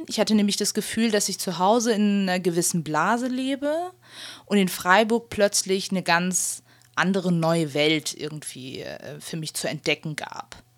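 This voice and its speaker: On a very clean recording with a silent background, a woman speaks at a moderate pace. Her pitch is medium and her intonation lively. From Germany. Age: 20s. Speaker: interviewee. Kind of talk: interview testimony. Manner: hesitant, frequent fillers.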